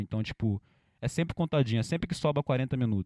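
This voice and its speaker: A man's medium-pitched voice at a very fast pace. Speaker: rapper. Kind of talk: interview. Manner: animated.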